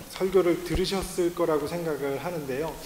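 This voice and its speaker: Amid noticeable background noise and audible room echo, a man with a slight non-native accent speaks at a fairly high pitch. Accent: slightly non-native Korean, self-described. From Latin America (emigrated from Korea at age 9, Mexico). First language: Spanish (speaking Korean). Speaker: missionary. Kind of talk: sermon. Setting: church. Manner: halting, many fillers.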